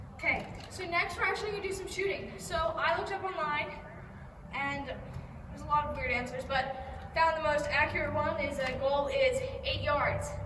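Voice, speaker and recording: A woman's extremely high voice with very wide pitch swings, a moderate pace, long and frequent pauses, and audible room echo. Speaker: youth soccer coach. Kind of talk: tutorial. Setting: outdoors.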